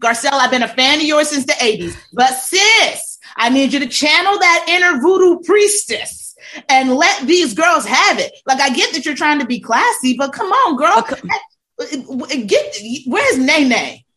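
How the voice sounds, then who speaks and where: A woman's bright, sharp, raised and projected voice, high in pitch with very wide swings, at a fairly slow pace with hardly any pauses. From US, military kid, born in Georgia. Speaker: podcast guest, friend of host. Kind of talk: casual chat. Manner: animated.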